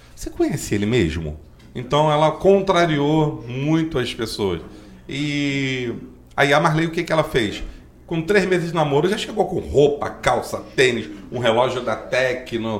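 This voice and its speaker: A man talks at a fairly slow pace with lively intonation, and audible room echo surrounds his voice. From Brazil, Magé (Rio de Janeiro state). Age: 40s. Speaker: driving school owner and local council candidate. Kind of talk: interview.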